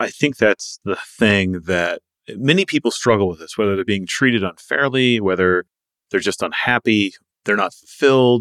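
A man's fairly low voice, a normal speaking voice, with ordinary pitch variation, a moderate pace and a dry, close sound with no echo. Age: 40s. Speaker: podcast host. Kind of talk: interview.

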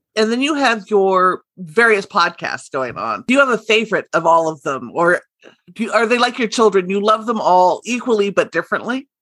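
This woman has a normal speaking voice, fairly high in pitch, with lively intonation. She keeps a moderate pace, and the sound is dry and close with no echo. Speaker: podcast host. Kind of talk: casual interview.

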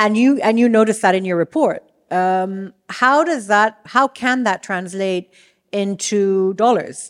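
A woman with a normal speaking voice talks at medium pitch and a fairly slow pace. Her pitch variation is ordinary, and the recording is very clean with a silent background. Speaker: podcast host. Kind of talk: interview with scripted intro. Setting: stage with live audience.

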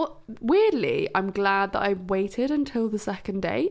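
A woman at a medium pitch speaks at a fairly slow pace with vocal fry. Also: lively intonation.

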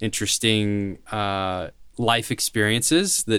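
An unremarkable speaking voice with an American accent and fairly even intonation. The recording is very clean, with a silent background. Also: man. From US South, Nashville, Tennessee. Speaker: company founder. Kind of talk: interview.

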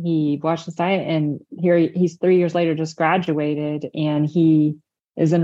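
A woman talks at a fairly slow pace in a fairly low pitch. She has an unremarkable speaking voice. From Indiana, US Midwest. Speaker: registered dietitian. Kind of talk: interview conversation.

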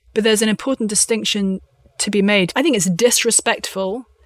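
A woman with a southern English accent, medium pitch, moderate pace and fairly even intonation. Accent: southern English (British). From London, England. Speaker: author. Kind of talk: interview.

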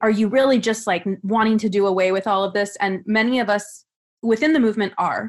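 A woman of medium pitch with an American accent talks at a very fast pace with ordinary pitch variation, on a very clean recording with a silent background. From California. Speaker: law graduate and activist. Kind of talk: panel discussion.

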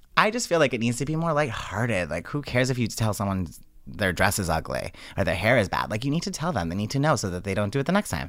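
Very wide pitch swings and an animated tone at a very fast pace, in a very clean recording with a silent background. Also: man, medium pitch for a man. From Rhode Island, Johnston. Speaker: celebrity hairstylist. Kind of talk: casual chat.

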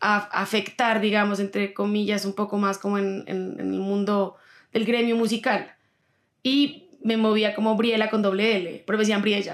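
Fairly even intonation and a moderate pace come through on a very clean recording with a silent background. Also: woman. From Colombia, Pasto (Nariño). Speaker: singer-songwriter. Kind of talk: interview.

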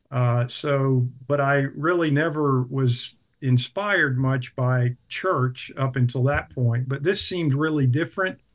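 A man with an American accent and a normal speaking voice talks at a fairly slow pace with hardly any pauses, medium pitch, ordinary pitch variation, and very even loudness. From US South, South Carolina (Clemson). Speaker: house church leader. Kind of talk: interview.

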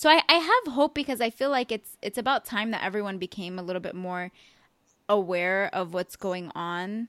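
An ordinary speaking voice with lively intonation moves at a moderate pace in a dry, close sound with no echo. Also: woman, medium pitch for a woman. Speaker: podcast host. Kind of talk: casual chat. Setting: remote call.

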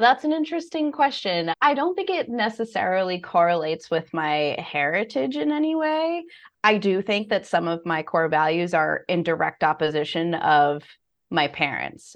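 A woman's medium-pitched voice with an American accent, moderate pace and very wide pitch swings. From United States. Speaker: financial coach. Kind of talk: interview.

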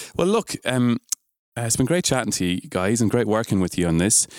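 Dry and close with no echo, a man with an Irish accent speaks on a very clean recording with a silent background. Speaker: podcast host and music teacher. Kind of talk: casual chat.

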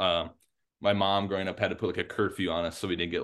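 A man speaks with an American accent at a very deep, low pitch and a very fast pace. His intonation stays monotone and flat over a quiet background. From US South and Midwest (Memphis, Tennessee; Illinois). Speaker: agronomy research scientist. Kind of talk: casual interview conversation.

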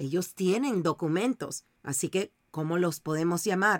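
In a dry, close sound with no echo, a woman with an ordinary speaking voice talks at a fairly slow pace and a medium pitch. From Panama. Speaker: TV journalist. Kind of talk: news interview.

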